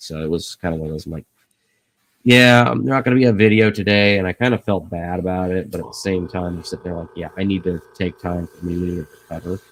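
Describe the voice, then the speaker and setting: A man speaks at a very fast pace. His voice is very deep and low, with ordinary pitch variation. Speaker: YouTuber, model kit builder. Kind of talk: casual live stream chat.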